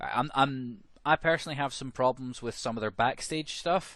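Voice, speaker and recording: Against a quiet background, a man with a Scottish accent talks at a fairly quick pace. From Scotland. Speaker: podcast co-host. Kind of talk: casual chat.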